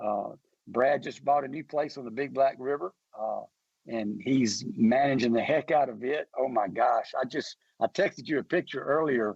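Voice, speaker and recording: Speaking with a Mississippi accent, a man keeps a moderate pace at medium pitch with ordinary variation. The sound is dry and close, with no echo. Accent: US Southern (Mississippi). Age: 60s. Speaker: hunting company founder. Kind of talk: radio interview. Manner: halting, repetitive.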